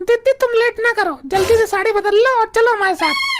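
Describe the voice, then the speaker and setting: A cartoonish character voice runs at a fairly quick pace. Its loudness stays very even throughout. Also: woman, extremely high pitch for a woman. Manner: chatty, bragging.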